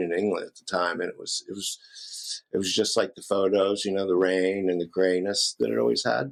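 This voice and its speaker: A man's ordinary speaking voice, fairly low in pitch, at a fairly quick pace. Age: 60s. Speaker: rock guitarist. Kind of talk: casual interview. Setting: podcast interview.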